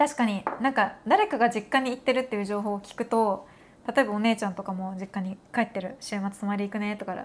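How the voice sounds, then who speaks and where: A woman with a normal speaking voice and a fairly high pitch talks at a fairly quick pace, her intonation fairly even but her loudness swinging widely. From Japan. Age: 30s. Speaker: podcast host, makeup content creator. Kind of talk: casual chat.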